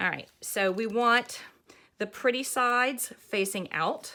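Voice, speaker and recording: A woman speaks at a very slow pace with a Southern US accent and a bright, sharp tone. The recording is very clean, with a silent background. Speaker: craft pattern designer. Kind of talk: tutorial. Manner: casual, chatty.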